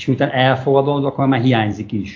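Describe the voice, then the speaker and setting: A man speaks in a somewhat breathy voice of medium pitch. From Hungary, Székesfehérvár. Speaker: construction business owner. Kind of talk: interview about living abroad. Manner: halting.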